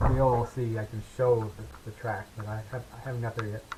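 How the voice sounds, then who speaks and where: With an American accent and a normal speaking voice, a man talks at a moderate pace. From US Midwest. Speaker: glider pilot. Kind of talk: casual storytelling. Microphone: too quiet, unsure where mic is.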